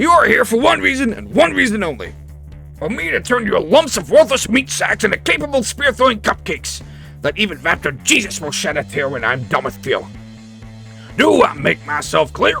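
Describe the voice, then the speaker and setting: A man puts on a raspy character voice, talking at a fairly quick pace as music plays clearly in the background. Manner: barking, shouting.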